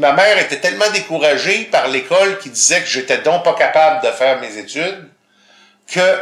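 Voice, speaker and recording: A man's high-pitched voice with a Quebec accent, lively intonation and a moderate pace. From Quebec, grew up in Montreal. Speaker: visually impaired guest. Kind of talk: casual interview.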